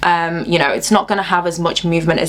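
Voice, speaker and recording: Over noticeable background noise, a woman talks in an animated tone at a medium pitch and a fairly quick pace. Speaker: hair care vlogger. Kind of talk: tutorial. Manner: fast.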